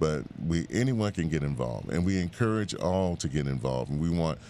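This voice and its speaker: Very deep, low male voice with a dark, mellow tone. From Bahamas and Miami. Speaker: civil rights organization president. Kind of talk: radio interview. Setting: radio studio.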